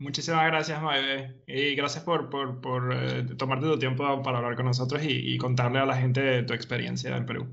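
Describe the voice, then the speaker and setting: Hardly pausing, a man speaks at a moderate pace and medium pitch with monotone, flat intonation. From Venezuela, Caracas. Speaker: podcast co-host. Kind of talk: casual interview.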